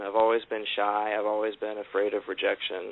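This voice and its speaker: There is noticeable background noise. Through it, a man speaks at a moderate pace. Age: 30s. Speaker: caller. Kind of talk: testimony. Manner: hesitant.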